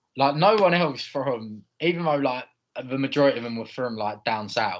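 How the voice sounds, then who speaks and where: This man's pace is moderate, his pitch medium. His intonation stays lively. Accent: Essex. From Essex, England. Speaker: podcast co-host. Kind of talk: casual chat.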